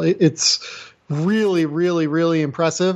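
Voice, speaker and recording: A man with an ordinary speaking voice talks at a fairly slow pace. His pitch is fairly high, and his intonation stays fairly even. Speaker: basketball draft analyst. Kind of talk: casual chat. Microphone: new microphone setup.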